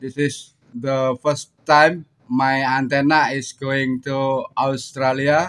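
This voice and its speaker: A man speaks with an Indonesian accent. His pitch is fairly high. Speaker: amateur radio operator. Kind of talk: radio contact exchange. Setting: ham radio transmission. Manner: halting, many fillers.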